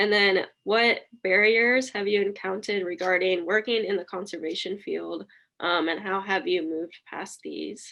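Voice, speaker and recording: The woman has an unremarkable speaking voice and medium pitch. She talks at a moderate pace with fairly even intonation. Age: young. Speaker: interviewer. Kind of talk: interview.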